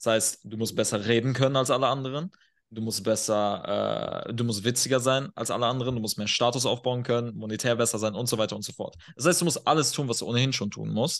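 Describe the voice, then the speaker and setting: The man's voice is pitched in the middle range. He speaks very quickly. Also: ordinary pitch variation. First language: not German (speaking German). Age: 20s. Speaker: performance and men's coach. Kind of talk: podcast interview. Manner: animated.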